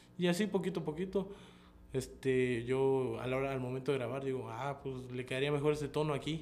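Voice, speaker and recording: At a fairly quick pace, a man talks in an ordinary speaking voice with medium pitch. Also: ordinary pitch variation. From Chiapas, Mexico. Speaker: rapper. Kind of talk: interview.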